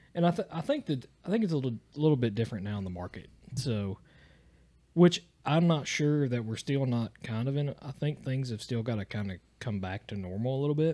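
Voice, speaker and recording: On a very clean recording with a silent background, a man with an Appalachian accent speaks fairly quickly, his dark, mellow tone carried by lively intonation. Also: medium pitch for a man. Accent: Appalachian Southern US. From Eastern Kentucky. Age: 30s. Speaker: podcast guest. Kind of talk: casual chat. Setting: home studio.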